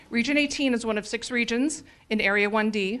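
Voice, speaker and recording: A woman's fairly high voice, fairly quick and fairly even in intonation. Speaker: youth soccer league commissioner. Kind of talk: public remarks at council meeting. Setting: city council chamber. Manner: fast.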